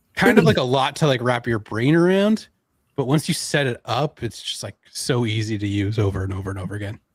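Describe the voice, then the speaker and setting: Lively intonation runs through this man's speech. His voice is somewhat breathy. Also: medium pitch for a man, fairly quick pace. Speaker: online marketing presenter. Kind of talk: live stream tech demo. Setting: live stream.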